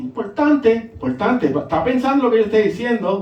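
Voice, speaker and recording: Delivered at a moderate pace, the words carry audible room echo. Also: man. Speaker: pastor. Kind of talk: sermon. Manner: animated.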